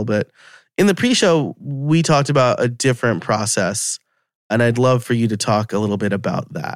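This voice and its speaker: A man with an ordinary speaking voice, medium pitch and moderate pace, on a very clean recording with a silent background. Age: 30s. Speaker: podcast host and podcast coach. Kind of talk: interview conversation.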